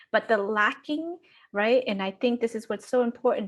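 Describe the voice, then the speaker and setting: Against a quiet background, a woman with a plain, everyday voice speaks at a fairly high pitch with ordinary pitch variation. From Vermont, US (Lao immigrant from age six). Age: 40s. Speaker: education professor. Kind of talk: panel discussion.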